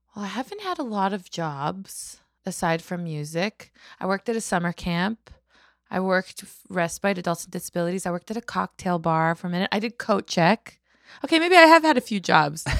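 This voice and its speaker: With a Manitoban accent, a woman speaks at a fairly quick pace, her medium pitch moving in an ordinary way while her loudness swings widely. The recording is very clean and dry, close with no echo, over a silent background. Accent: Canadian (Manitoba). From Canada. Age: 30s. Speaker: singer-songwriter. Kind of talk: casual chat.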